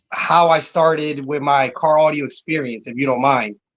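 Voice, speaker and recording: Speaking fairly slowly with an American accent, a man uses an ordinary speaking voice pitched fairly high. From Connecticut. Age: 30s. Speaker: car audio business owner. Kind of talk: casual interview chat.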